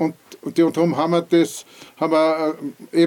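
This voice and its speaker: A man speaks at a moderate pace in a high pitch. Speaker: former mayor. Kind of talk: oral history interview.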